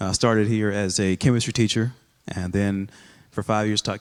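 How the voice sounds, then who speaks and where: At a very fast pace, a man with a fairly low pitch speaks in a flat monotone. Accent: slight Texas. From Texas, Rowlett area. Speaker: high school principal. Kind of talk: casual interview conversation.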